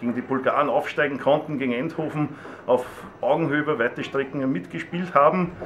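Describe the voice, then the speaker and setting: A man is talking at a moderate pace. His pitch varies in an ordinary way, and noticeable background noise is present. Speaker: stadium announcer. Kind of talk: interview answer.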